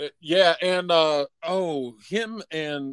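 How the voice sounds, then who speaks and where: A man with a US Midwestern accent speaks at a fairly high pitch with lively intonation, in a dry, close sound with no echo. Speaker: film podcast co-host. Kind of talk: casual chat.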